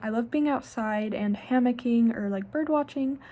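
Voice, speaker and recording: A woman speaks in a dark, mellow tone that is somewhat breathy. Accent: American. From southern Ohio, Scioto County. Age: 20s. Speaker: university student, internship applicant. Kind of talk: self-recorded interview answers. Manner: casual with filler words.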